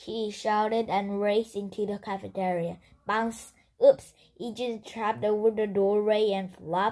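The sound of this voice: The intonation stays fairly even. An unforced reading voice delivers the text.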